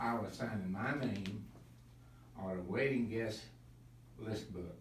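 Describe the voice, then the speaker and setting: Noticeable background noise and audible room echo surround a voice that moves at a fairly slow pace with ordinary pitch variation. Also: man. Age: 80s+. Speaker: birthday honoree telling life story. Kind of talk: personal speech to gathering. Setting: birthday celebration with audience.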